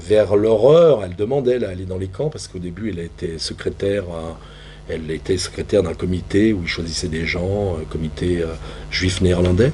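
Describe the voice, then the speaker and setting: A man with a very deep, low voice speaks at a fairly quick pace with ordinary pitch variation, and the room echo is audible. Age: 60s. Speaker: theatre practitioner. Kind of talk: panel discussion. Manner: halting.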